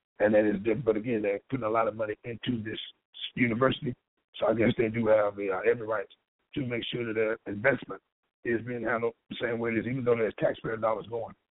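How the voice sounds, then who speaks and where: At a very fast pace, a man with a medium-pitched voice talks in a flat, monotone way. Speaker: political commentator. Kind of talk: news commentary.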